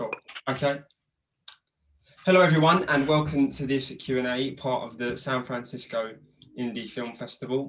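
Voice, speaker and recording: Long, frequent pauses break up the speech of a man with a British accent. His intonation stays fairly even. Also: medium pitch for a man, moderate pace. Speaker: festival Q&A interviewer. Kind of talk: interview. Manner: hesitant.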